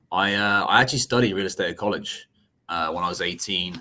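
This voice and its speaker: A man's very deep, low voice with a bright, sharp tone and ordinary pitch variation. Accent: London. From outskirts of London, England. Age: young. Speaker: commercial real estate broker. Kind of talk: podcast interview answer.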